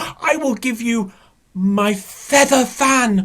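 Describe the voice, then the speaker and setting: Someone uses a put-on character voice with a fairly high pitch, speaking at a very slow pace. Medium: read story. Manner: greedy, bargaining.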